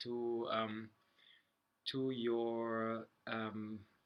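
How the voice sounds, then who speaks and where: A medium-pitched man with a German accent. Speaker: health vlogger. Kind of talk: casual talk to camera. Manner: halting.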